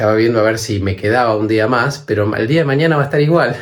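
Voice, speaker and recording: A man's somewhat breathy voice moves at a fairly quick pace. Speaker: travel vlogger. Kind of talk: vlog monologue.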